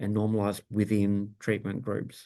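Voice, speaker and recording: A man with an Australian accent speaks at a moderate pace in a fairly low pitch, his tone dark and mellow, over a quiet background. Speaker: bioinformatics workshop instructor. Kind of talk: technical workshop tutorial. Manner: casual with frequent fillers (um, uh).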